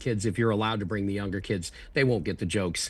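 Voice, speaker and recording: A man talks at a very fast pace in a fairly low voice. His delivery is somewhat breathy, with ordinary pitch variation. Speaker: ventriloquist and comedian. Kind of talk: interview answer. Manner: casual, chatty.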